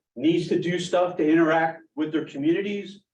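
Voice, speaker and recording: A high-pitched man with an American accent at a moderate pace, with audible room echo. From Philadelphia, US. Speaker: emergency planning committee member. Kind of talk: committee meeting discussion.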